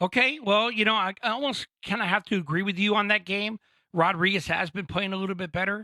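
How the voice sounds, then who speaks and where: A man projects a raised, bright, sharp voice at a fairly quick pace, the sound dry and close with no echo in a very clean recording with a silent background. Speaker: sports podcast co-host. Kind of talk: casual sports chat. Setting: podcast studio.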